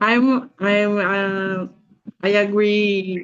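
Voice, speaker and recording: A woman speaks at a medium pitch with a Brazilian Portuguese accent. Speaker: group session participant. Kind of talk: personal introduction. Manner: halting.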